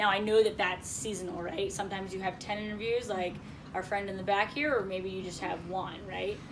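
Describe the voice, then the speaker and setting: A woman with an American accent speaks at a moderate pace and medium pitch. Noticeable background noise and audible room echo come through. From Connecticut, US. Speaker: career coach leading a job seekers group. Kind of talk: workshop discussion.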